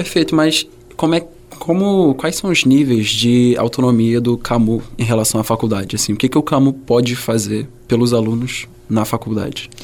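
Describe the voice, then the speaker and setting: At a moderate pace and with very even loudness, a man speaks with ordinary pitch variation over noticeable background noise. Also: medium pitch for a man. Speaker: podcast host, medical student. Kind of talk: casual interview.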